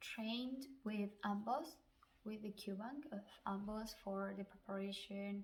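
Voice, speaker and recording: A somewhat breathy voice at a fairly slow pace. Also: woman. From Chile. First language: Spanish. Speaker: physician. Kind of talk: advice vlog.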